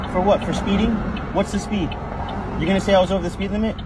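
In a dry sound with no echo, a man rattles off his words very fast against loud background noise. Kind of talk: argumentative exchange. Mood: defiant, argumentative. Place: car. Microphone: phone near.

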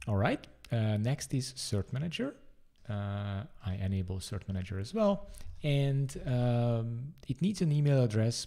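Over a quiet background, a man talks at a fairly slow pace with lively intonation. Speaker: presenter. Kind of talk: tutorial.

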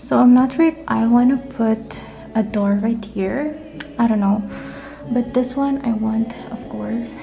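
Faint music plays in the background while a woman speaks at a fairly slow pace with fairly even intonation. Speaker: vlogger. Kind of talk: casual vlog chat. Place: empty room. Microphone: phone near.

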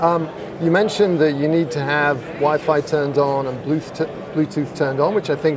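A man with a fairly high pitch and fairly even intonation talks at a moderate pace over clear background noise.

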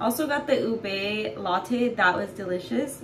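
Against noticeable background noise, a woman talks at a fairly slow pace. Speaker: vlogger. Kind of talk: casual vlog chat. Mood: cheerful, chatty. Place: bathroom. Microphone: phone near.

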